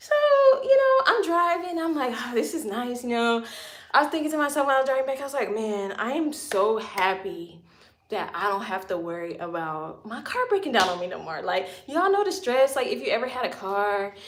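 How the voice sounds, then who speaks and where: High-pitched woman's voice at a fairly quick pace, very wide pitch swings, noticeable background noise and audible room echo. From Louisiana. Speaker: lifestyle vlogger. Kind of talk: casual livestream storytelling. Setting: home livestream. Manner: animated.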